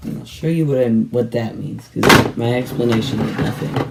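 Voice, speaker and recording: Noticeable background noise runs through the clip. The talking keeps a moderate pace. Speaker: toy reviewer youtuber. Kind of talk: product review. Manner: casual, rambling.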